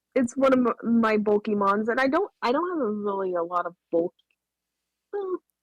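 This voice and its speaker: Mumbling at a moderate pace with long, frequent pauses, a woman's fairly high voice swings very widely in pitch, the sound dry and close with no echo. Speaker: guest game coach. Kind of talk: casual chat. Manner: halting.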